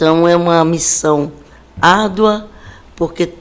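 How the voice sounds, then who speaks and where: A woman's very deep, low voice at a very slow pace, with fairly even intonation and noticeable background noise. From Brazil, Bahia (Salvador). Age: 60s. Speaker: city government official and educator. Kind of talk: interview. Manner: formal.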